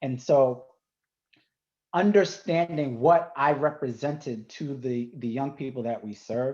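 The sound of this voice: A man speaks slowly in a medium pitch with ordinary variation. His tone is slightly mellow.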